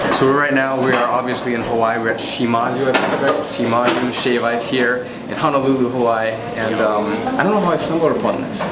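Loud background noise surrounds a man speaking at a fairly quick pace with ordinary pitch variation. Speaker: food challenge vlogger. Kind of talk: casual vlog chat. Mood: excited, laughing. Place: shop. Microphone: phone near.

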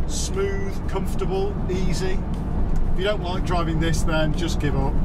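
Over music in the background, a man speaks at a fairly slow pace. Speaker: vehicle reviewer. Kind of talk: review commentary. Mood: upbeat, enthusiastic. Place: car.

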